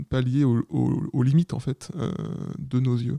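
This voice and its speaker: Medium-pitched male voice with a dark, mellow tone, fairly slow pace, fairly even intonation and a dry, close sound with no echo. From Paris region, France. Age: 30s. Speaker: photographer. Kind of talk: interview.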